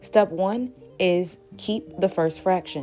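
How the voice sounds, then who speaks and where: Over music in the background, a woman talks in a fairly low pitch. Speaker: math teacher. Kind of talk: math lesson narration.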